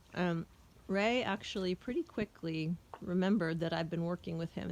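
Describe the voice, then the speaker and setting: A woman's gravelly voice sits at a fairly low pitch with fairly even intonation. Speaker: horse trainer. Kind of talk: casual narration while working with horses. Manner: slow, soothing.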